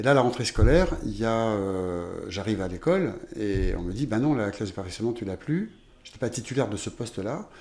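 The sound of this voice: Fairly quick and lively in intonation, a man talks with a fairly low pitch and a slightly mellow tone.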